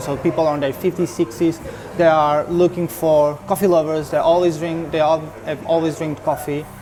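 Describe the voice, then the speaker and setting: In a Portuguese accent, a woman with a fairly low voice speaks with fairly even intonation, amid audible room echo and noticeable background noise. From Portugal, Porto. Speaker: barista. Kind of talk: interview.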